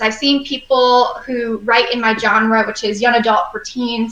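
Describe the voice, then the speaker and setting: Speech moves at a fairly slow pace. It is a plain, everyday voice. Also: woman. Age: 20s. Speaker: young adult author and editor. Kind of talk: interview. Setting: live stream show.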